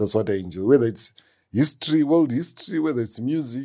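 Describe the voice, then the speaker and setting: A man at a medium pitch with a dark, mellow tone and lively intonation, at a fairly quick pace over a quiet background. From Zimbabwe. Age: 50s. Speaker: music producer and guitarist. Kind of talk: interview conversation.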